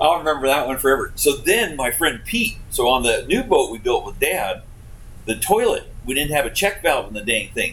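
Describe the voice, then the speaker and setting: A man with an Alaskan accent talks at a moderate pace. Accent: Alaskan American. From Alaska (Homer). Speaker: commercial fishing captain. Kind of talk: casual interview storytelling.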